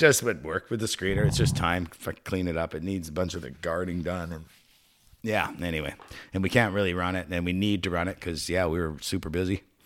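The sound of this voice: A man's low-pitched voice at a fairly quick pace, with ordinary pitch variation.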